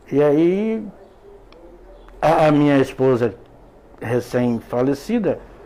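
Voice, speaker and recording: A man with a fairly high pitch talks at a very slow pace, with lively intonation and long, frequent pauses. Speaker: former computer teacher. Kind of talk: interview. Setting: radio studio. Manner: halting, repeats words.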